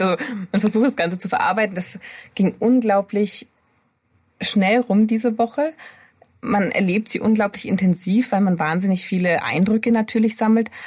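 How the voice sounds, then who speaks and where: A woman speaks at a moderate pace with a medium pitch, ordinary pitch variation and a somewhat breathy sound. Her speech has long, frequent pauses. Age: 30s. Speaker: pediatric intensive care nurse. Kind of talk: interview.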